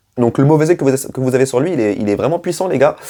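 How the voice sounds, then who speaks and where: A man with a dark, mellow tone. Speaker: football YouTuber. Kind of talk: match debrief vlog. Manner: casual, hesitant with fillers.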